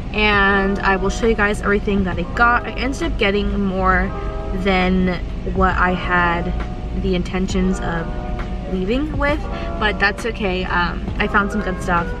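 A woman speaks at a fairly slow pace over clear music in the background. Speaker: lifestyle vlogger. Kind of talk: casual vlog chat. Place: car.

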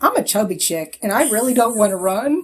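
Fairly quick, somewhat breathy speech with lively intonation. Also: woman. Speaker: podcast co-host. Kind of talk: casual chat.

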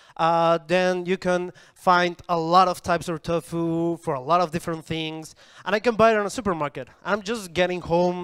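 A man's high-pitched voice with fairly even intonation and a Spanish accent. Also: quiet background. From Colombia. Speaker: coding bootcamp student; presenter. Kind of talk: product demo pitch. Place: hall. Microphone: handheld.

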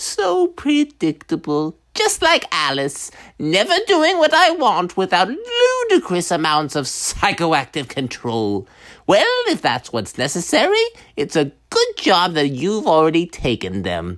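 Put-on character voice from a man, delivered fairly slowly. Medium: voice reel. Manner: gleeful, taunting.

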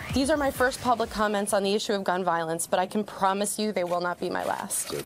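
Against light background noise, a woman speaks at a very fast pace with ordinary pitch variation. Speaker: comedian and actress. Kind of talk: press conference statement. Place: meeting room. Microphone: podium.

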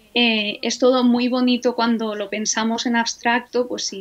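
A woman with an unremarkable speaking voice, fairly high in pitch, with fairly even intonation at a moderate pace. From Spain, Alicante; Spain. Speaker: Egyptologist, professor; professor. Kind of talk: interview conversation. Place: home room. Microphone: video call.

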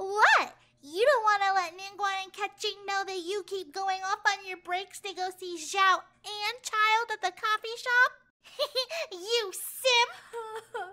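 This is a put-on character voice that sounds female. The pitch is extremely high. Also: fairly slow pace, hardly any pauses. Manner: teasing, excitable.

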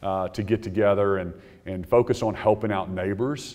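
A man's fairly low voice against a quiet background. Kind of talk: press conference remarks. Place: hall. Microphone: podium.

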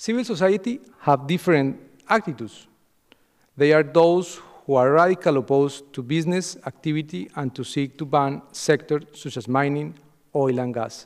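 A fairly high-pitched man with lively intonation at a moderate pace, against a quiet background. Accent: Spanish. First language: Spanish. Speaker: political analyst. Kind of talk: lecture. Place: hall. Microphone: podium.

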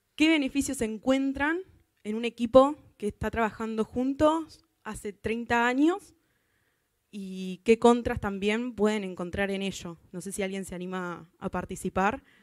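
A woman's fairly high voice at a fairly slow pace, with big swings in loudness, dry sound with no echo and a quiet background. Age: 20s. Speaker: software tester; conference speaker. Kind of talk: conference talk. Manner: halting, many fillers. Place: hall. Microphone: handheld.

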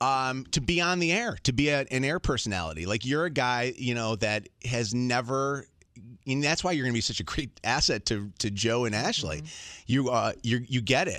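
Here a man talks at a moderate pace and medium pitch, with lively intonation and a bright, sharp tone. The sound is dry with no echo, over a quiet background. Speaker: morning radio show host. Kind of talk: casual on-air farewell chat. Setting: radio studio. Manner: animated, jokey. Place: studio. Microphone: studio mic.

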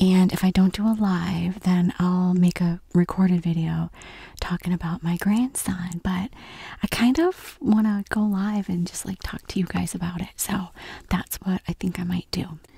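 A woman speaks with a fairly low pitch and a dark, mellow tone, with vocal fry and a slightly husky edge. Her intonation stays fairly even, with few pauses. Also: moderate pace.

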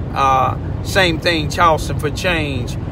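Delivered at a fairly slow pace, the speech has a dry sound with no echo over noticeable background noise. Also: man. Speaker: community commentator. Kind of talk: impassioned commentary. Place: car. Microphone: phone near.

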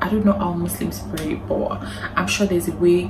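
A woman talks at a moderate speed. Behind her, noticeable background noise persists. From Nigeria. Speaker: lifestyle vlogger. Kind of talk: advice vlog to camera. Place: home room.

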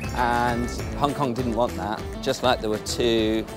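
A man speaks at a fairly slow pace. Faint music plays in the background.

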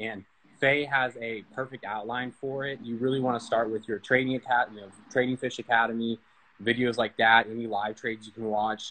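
The pace of this man's speech is fairly quick. He keeps his intonation fairly even. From Texas, Dallas. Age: 20s. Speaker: student trader; guest. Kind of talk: interview on a livestream. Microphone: video call.

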